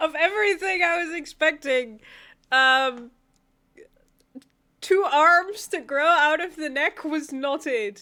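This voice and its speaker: A woman's high, bright and sharp voice, raised and projected, at a very slow pace with long, frequent pauses and ordinary pitch variation. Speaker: anime reaction youtuber. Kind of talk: casual reaction commentary to camera.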